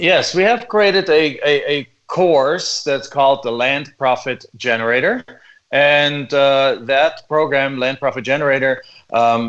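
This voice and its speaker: A man's fairly high-pitched voice with a German accent, fairly slow, with ordinary pitch variation. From Germany. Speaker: real estate investor. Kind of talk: interview.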